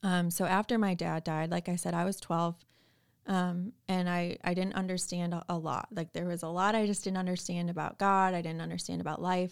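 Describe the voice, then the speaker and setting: With an American accent, a woman talks at a fairly quick pace in a fairly low pitch. Her intonation is monotone and flat, and the recording is very clean with a silent background. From Chicago suburbs. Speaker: former teacher, corporate worker. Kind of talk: casual chat. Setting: studio.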